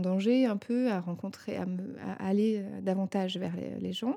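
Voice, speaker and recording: Very slowly, a woman speaks at medium pitch with ordinary pitch variation and a dark, mellow tone, in a very clean recording with a silent background. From Paris suburbs, Seine-et-Marne, France. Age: 30s. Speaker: documentary filmmaker and photographer. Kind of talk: interview. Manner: halting, many hesitations.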